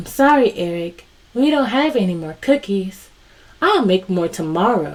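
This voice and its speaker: The speaker uses a put-on character voice that sounds female, with a warm tone. Her pitch is medium, and her pace is moderate. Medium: read story. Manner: warm, patient.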